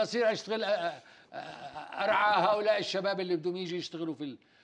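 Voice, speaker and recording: Ordinary pitch variation marks a man's high-pitched speech. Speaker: senator and former royal court official; guest. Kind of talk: TV panel interview. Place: studio. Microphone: lapel.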